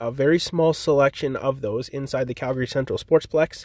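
The recording of this man is very clean, with a silent background and a dry, close sound with no echo. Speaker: ball hockey league founder and podcast host. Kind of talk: solo podcast update. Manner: monotone; casual, filler-heavy.

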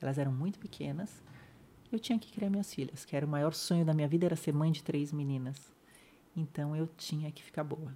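Somewhat breathy, a woman speaks at a very deep, low pitch with a dark, mellow tone. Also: ordinary pitch variation, fairly quick pace. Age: 50s. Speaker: spinal injury survivor sharing her story. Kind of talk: interview testimony.

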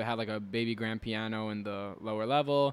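This is an ordinary speaking voice from a man at medium pitch. He keeps a fairly quick pace with fairly even intonation. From New Jersey, Elizabeth. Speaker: podcast host. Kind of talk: casual chat.

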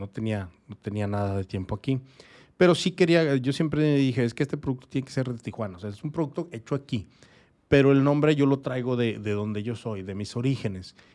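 A medium-pitched man with a dark, mellow tone and lively intonation, on a very clean recording with a silent background. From Mexico, Torreón, Coahuila. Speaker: craft brewer. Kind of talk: casual interview. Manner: halting.

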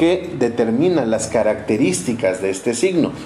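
Over noticeable background noise and audible room echo, the speech has lively intonation. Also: man. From Mexico, Orizaba, Veracruz. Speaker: astrology podcaster. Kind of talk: casual monologue. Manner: hesitant, filler-heavy.

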